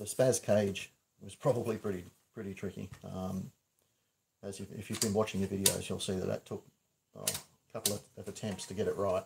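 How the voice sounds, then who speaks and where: This man's voice sits fairly low and sounds somewhat breathy. His intonation stays monotone and flat while his loudness swings widely. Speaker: prop maker. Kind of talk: livestream tutorial. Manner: mumbling.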